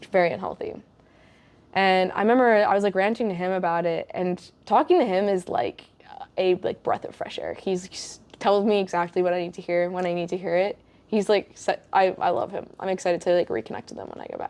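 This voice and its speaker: A woman with an American accent speaks in a normal speaking voice at medium pitch, with ordinary pitch variation and a fairly quick pace. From USA. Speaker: podcast host. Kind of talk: casual chat. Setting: in person.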